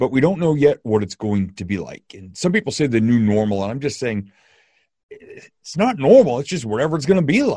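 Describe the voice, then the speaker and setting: The man sounds somewhat breathy and talks at a fairly quick pace. His pitch swings very widely. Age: 50s. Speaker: podcast host, motivational speaker. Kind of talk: casual interview chat.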